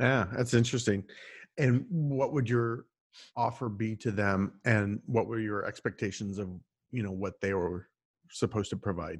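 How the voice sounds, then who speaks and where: A plain, everyday voice speaks at a moderate pace with ordinary pitch variation. The background is quiet. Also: man, fairly low pitch for a man. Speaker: podcast host. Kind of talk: interview.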